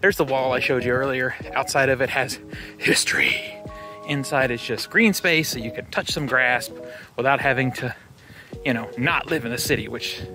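Clear music plays behind a man who speaks at a moderate pace with long, frequent pauses, in a dry sound with no echo. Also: ordinary pitch variation. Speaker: city walk vlogger. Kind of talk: casual vlog chat. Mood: relaxed, upbeat. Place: street. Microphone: phone near.

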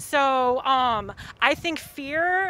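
In a raised, projected voice, a woman speaks at a high pitch with a bright, sharp tone, the sound dry with no echo. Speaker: protester. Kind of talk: impromptu opinion statement; interview answer. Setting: outdoors at a protest. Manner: impassioned, fluent. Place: street. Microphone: lapel.

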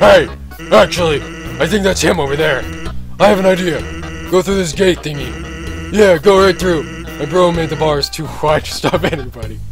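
Over clear background music, a man performs a put-on character voice at a moderate pace. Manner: laid-back, drawling, jokey.

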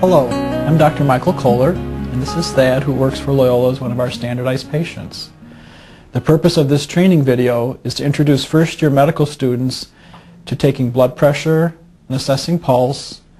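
Faint music plays in the background. A man talks at a moderate pace with fairly even intonation. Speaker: physician instructor. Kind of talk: instructional tutorial.

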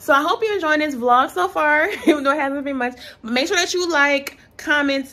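A woman raises and projects her voice, her tone bright and sharp and her intonation lively. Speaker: vlogger. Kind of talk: casual vlog chat. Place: home room. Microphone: phone near.

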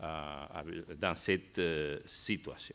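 In a very clean recording with a silent background, a man with a Spanish accent speaks at a very slow pace. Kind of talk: conference talk. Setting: stage with audience. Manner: halting.

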